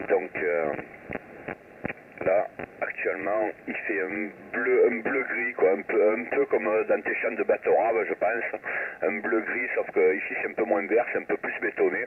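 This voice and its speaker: A man speaks with a southern French accent, leaving long, frequent pauses. Noticeable background noise runs underneath. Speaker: amateur radio operator. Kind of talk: radio contact chat. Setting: shortwave radio contact.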